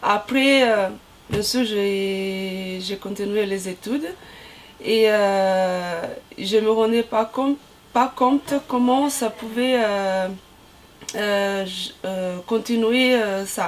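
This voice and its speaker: A woman's very slow speech with long, frequent pauses and ordinary pitch variation. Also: medium pitch for a woman. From Brazil. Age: 30s. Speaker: volleyball player, team captain. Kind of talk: interview. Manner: halting, many hesitations.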